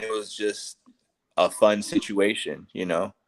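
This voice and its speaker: His pitch is fairly low for a man. He keeps to a fairly slow pace. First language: Spanish. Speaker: podcast guest. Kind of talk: casual chat. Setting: live online stream. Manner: halting, repeats words.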